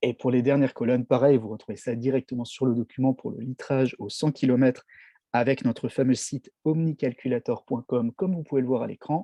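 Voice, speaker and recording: The delivery runs at a fairly quick pace. Its intonation stays fairly even. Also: man, medium pitch for a man. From France, Strasbourg (Alsace). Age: 30s. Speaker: network marketing distributor. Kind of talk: product presentation. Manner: hesitant, frequent fillers.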